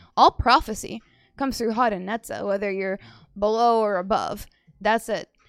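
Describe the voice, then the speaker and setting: A woman speaks in an animated tone at a moderate pace, her voice fairly high. Long, frequent pauses break her speech, and the sound is dry and close with no echo. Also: very clean recording, silent background. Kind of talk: religious teaching. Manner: animated, laughs often.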